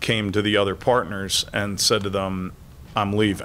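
Over light background noise, a man with a fairly low pitch and a bright, sharp tone speaks at a moderate pace in monotone, flat intonation. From New Jersey, US. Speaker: consultant, former stock exchange trader; guest. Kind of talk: interview in front of a class. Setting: classroom with student audience. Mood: reflective, storytelling. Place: stage. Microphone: podium.

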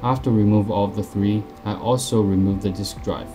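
Music plays in the background while the voice moves at a moderate pace. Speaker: tech tutorial narrator. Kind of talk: tutorial.

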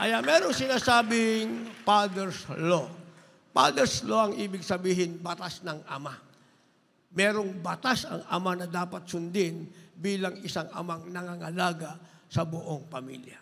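An animated man speaks fairly slowly at a high pitch with a bright, sharp tone, ordinary pitch variation and big swings in loudness. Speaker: preacher. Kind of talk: sermon. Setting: church. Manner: animated, rhythmic pulpit delivery with call-and-response ("Amen", "praise the Lord"); earnest, exhortative, repeatedly addressing the congregation as beloved. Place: church. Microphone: handheld.

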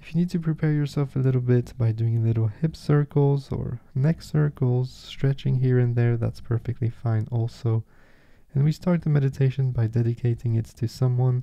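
Against a quiet background, a man with a medium pitch and a dark, mellow tone speaks at a moderate pace with fairly even intonation. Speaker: meditation guide. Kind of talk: guided meditation. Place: home room.

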